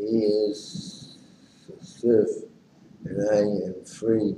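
The speech moves at a very slow pace with noticeable background noise behind it. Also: man. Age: 90s. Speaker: amateur poet. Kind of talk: poetry reading. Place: home room. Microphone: webcam.

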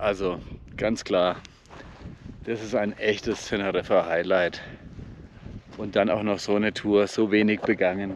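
A man speaks at a fairly slow pace in a monotone, flat intonation, with long, frequent pauses, a dry sound with no echo, and light background noise. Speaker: hiking vlogger. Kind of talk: casual vlog chat. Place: open country. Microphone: phone near.

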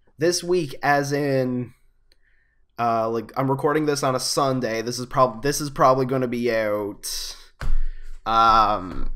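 Against a quiet background, the speech has long, frequent pauses and ordinary pitch variation. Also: man, fairly slow pace. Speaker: gaming youtuber. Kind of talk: casual video commentary. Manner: halting, many fillers. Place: home room. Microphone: webcam.

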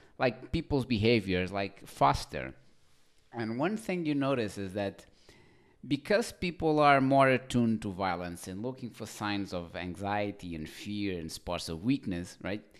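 With a plain, everyday voice, a man speaks at a fairly slow pace and fairly low pitch with lively intonation against a quiet background. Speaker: dating advice vlogger. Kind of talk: casual vlog chat. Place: home room. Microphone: studio mic.

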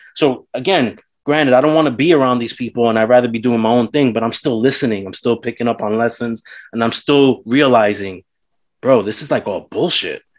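A man talks fairly quickly, his pitch varying in an ordinary way over a quiet background. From New York City. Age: 40s. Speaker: podcast host. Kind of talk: casual interview chat. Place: home room. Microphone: webcam.

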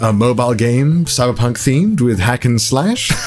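Faint music sits behind the voice. The speaker is a man. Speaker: youtuber doing sponsor read. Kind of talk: sponsor advertisement read. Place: home room. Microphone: studio mic.

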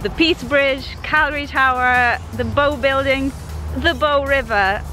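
A woman's voice, dry with no echo, over faint music in the background. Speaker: travel vlogger. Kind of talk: casual vlog chat. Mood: excited, happy. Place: open country. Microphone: phone near.

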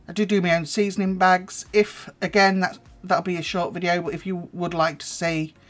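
Faint music sits in the background as a woman speaks. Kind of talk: cooking tutorial. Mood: relaxed, chatty. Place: kitchen. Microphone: phone near.

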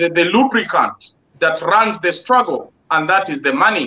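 A man's raised, projected voice, fairly slow in pace, with a bright, sharp tone. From Uganda. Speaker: online talk show host; panel host or moderator. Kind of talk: panel discussion. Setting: video call. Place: home room. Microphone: video call.

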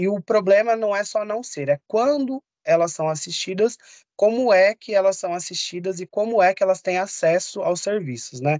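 A man's voice sounds dry, with no echo, and the background is quiet. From São Paulo, East Zone; São Paulo, Brazil. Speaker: public health specialist; course lecturer. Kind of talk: online lecture. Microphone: video call.

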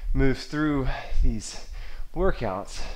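A man's fairly slow speech with lively intonation. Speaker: fitness instructor. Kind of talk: tutorial. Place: garage. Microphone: camera far.

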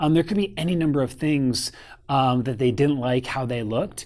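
A man speaks at a moderate pace with ordinary pitch variation over a quiet background. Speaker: photography business coach. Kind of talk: casual advice talk to camera. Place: home room.

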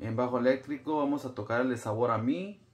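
With music behind him, a man speaks fairly slowly. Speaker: bass teacher. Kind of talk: tutorial. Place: home room. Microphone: phone near.

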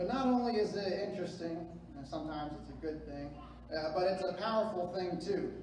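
Audible room echo and noticeable background noise surround a man speaking at a moderate pace in a high pitch with ordinary pitch variation. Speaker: preacher. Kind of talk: sermon. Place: church.

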